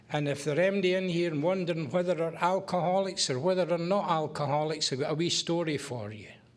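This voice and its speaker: In a Scottish accent, a man talks very fast with hardly any pauses, in a high pitch with ordinary pitch variation. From Scotland. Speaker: AA speaker, recovering alcoholic. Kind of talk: testimony. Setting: AA meeting with audience.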